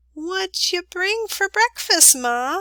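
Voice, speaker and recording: Putting on a squeaky character voice at an extremely high pitch, a woman speaks with an enthusiastic tone. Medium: read story. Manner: lively, enthusiastic.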